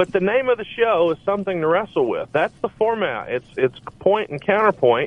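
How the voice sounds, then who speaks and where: Talking at a moderate pace with hardly any pauses, a man with an American accent uses a high voice and lively intonation. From US South, Alabama. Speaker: podcast co-host and mortgage business owner. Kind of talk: casual interview chat.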